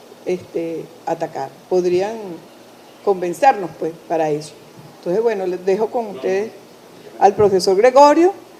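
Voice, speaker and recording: A woman's medium-pitched voice with lively intonation at a fairly slow pace, long, frequent pauses and noticeable background noise. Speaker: university director. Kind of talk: event introduction. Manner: halting.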